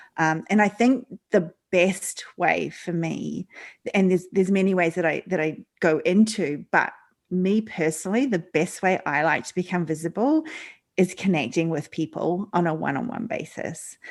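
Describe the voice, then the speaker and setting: A woman speaks in an Australian accent. Her pitch is medium and her pace moderate. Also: ordinary pitch variation. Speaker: leadership coach. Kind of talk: interview. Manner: halting, many fillers.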